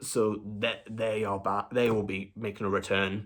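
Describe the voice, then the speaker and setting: In a very clean recording with a silent background, a man speaks quietly at a very slow pace with a fairly low pitch. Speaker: film review YouTuber. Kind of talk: casual vlog update.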